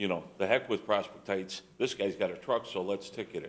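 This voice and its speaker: A man at a moderate pace with a fairly low pitch. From US Midwest, Chicago suburbs. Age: 60s. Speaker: resident speaking at public comment. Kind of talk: public comment at a town meeting. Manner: animated.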